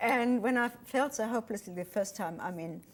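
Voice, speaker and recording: She speaks with a German accent. Her delivery comes at a very fast pace. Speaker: retired airline pilot and author. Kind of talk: TV interview.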